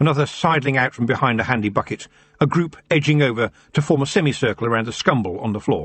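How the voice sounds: Natural reading voice, its pitch rising and falling in an ordinary way.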